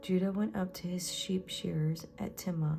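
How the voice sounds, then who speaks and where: Music plays behind a soft-spoken woman. She talks in a gentle tone at a fairly slow pace. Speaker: Bible reader / ASMR channel host. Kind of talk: soft-spoken Bible reading, read-along. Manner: soft-spoken, gentle, slow with some pauses.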